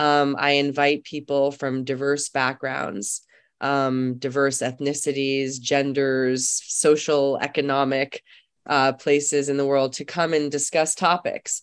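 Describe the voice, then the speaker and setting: A woman with an American accent speaks at a fairly slow pace. Her pitch is very deep and low, and the background is quiet. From New York City. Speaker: actress. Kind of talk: interview. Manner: animated.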